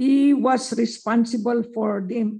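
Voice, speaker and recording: Against a quiet background, a woman's fairly high, somewhat breathy voice carries a dark, mellow tone and fairly even intonation. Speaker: former research center director. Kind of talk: speaker introduction.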